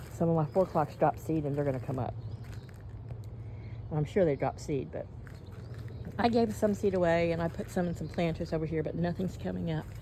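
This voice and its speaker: A woman with a very deep, low pitch speaks at a fairly quick pace, her intonation lively and broken by long, frequent pauses. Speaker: vlogger. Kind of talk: casual monologue. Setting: outdoors. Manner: fast.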